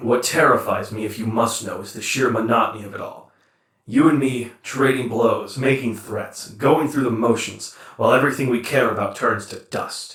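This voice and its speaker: Putting on a character voice, a man talks at a moderate pace in a medium pitch, with a slight echo. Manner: measured, earnest.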